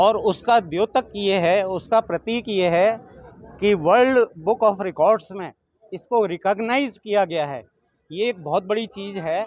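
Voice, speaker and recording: Heard in a dry, close sound with no echo, a man speaks at a high pitch with ordinary pitch variation. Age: 70s. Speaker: participant seeking a life partner. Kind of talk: interview. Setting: event venue.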